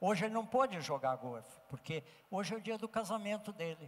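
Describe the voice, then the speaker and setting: A man is speaking at a fairly quick pace. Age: 80s+. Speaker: professor and ethics speaker. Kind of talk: lecture; storytelling.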